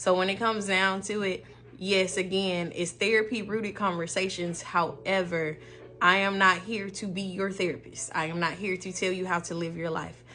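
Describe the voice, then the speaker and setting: In an American accent, a woman speaks at medium pitch and a moderate pace, with a bright, sharp tone, monotone, flat intonation, and audible room echo. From US South, Memphis, Tennessee. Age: 30s. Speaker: podcast host, therapist. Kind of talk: casual monologue podcast.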